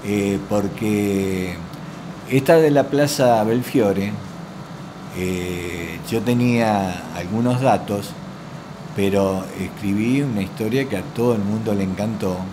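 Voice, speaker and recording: Through noticeable background noise and audible room echo, a man with a fairly low pitch and ordinary pitch variation speaks at a very slow pace with long, frequent pauses. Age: 60s. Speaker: local historian. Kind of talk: interview.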